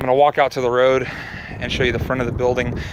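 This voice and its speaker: A man talks over noticeable background noise. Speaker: auto repair shop owner. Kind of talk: casual video walkthrough. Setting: outdoors then inside a shop. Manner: fast.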